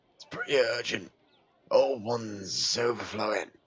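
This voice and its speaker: In a raspy, put-on character voice, a man talks at a moderate pace and medium pitch. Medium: game stream. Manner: terse, gruff.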